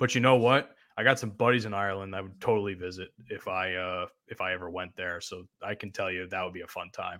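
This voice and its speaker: A man's fairly low voice in a New Jersey accent, very fast, with fairly even intonation and big swings in loudness. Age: 20s. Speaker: podcast host. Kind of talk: casual chat.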